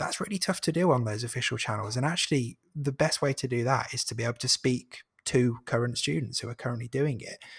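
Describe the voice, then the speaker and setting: At a very fast pace, a man with a medium pitch and ordinary pitch variation sounds somewhat breathy in a dry, close recording with no echo. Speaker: marketing and content head, podcaster. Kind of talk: casual interview.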